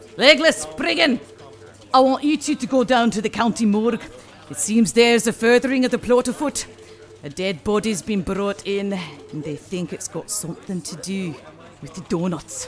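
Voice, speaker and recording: A gruff, put-on character voice at a fairly high pitch, with very wide pitch swings, big swings in loudness, a moderate pace and clear background noise. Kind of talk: comic overacting. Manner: bold, rousing, gruff.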